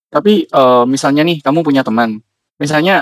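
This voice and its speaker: In a normal speaking voice, a man talks at a fairly quick pace with ordinary pitch variation, the sound dry and close with no echo. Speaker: podcast host. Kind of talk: casual interview.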